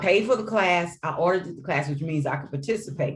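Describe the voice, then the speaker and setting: A woman speaks in a somewhat breathy voice. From US Midwest, St. Louis. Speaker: educator and author. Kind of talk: interview.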